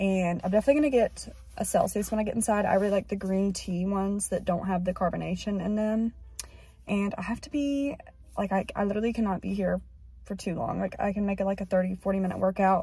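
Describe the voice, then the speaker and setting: At a very fast pace, a woman speaks somewhat breathily with ordinary pitch variation, the sound dry with no echo. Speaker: vlogger. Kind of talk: casual vlog chat. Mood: slightly anxious, a bit rushed. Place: car. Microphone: phone near.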